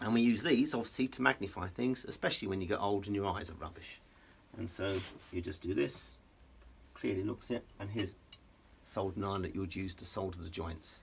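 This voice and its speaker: Speaking at a fairly quick pace, a man with a fairly low pitch sounds relaxed and somewhat breathy. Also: ordinary pitch variation. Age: 60s. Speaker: electronics engineer and business owner. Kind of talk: casual explanatory talk on camera, workshop tour. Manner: relaxed, with filler hesitations.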